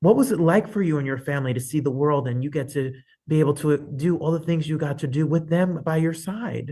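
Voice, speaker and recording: Speaking at a fairly quick pace, a man with a fairly high pitch sounds somewhat breathy and shows ordinary pitch variation. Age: 40s. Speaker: talk show host. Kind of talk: interview. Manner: animated.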